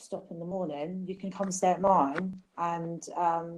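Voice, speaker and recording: A woman speaks with an English accent. Her tone is dark and mellow. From England. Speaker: survivor of a youth facility. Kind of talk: interview storytelling. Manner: hesitant with many ums.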